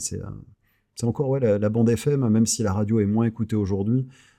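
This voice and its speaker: Over a silent background in a very clean recording, a man speaks very fast with a fairly low, dark and mellow voice and ordinary pitch variation. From southern France (Carcassonne, Clermont-Ferrand). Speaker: radio host. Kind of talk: casual interview chat. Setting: podcast studio, no headphones.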